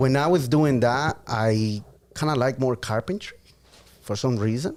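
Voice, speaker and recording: A man with a Spanish accent speaks at a fairly slow pace. His voice sits at a medium pitch with ordinary pitch variation. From Guatemala, raised from age 8 in Massachusetts. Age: 30s. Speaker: podcast guest, auto shop owner. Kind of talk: casual chat.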